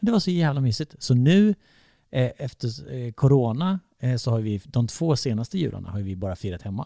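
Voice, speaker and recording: Dark and mellow in tone, a man's voice swings very widely in pitch at a fairly quick pace. The recording is very clean with a silent background, dry and close with no echo. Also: medium pitch for a man. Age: 30s. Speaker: podcast co-host. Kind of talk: casual chat. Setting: recording in an echoey, sparsely furnished dining room. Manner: loud.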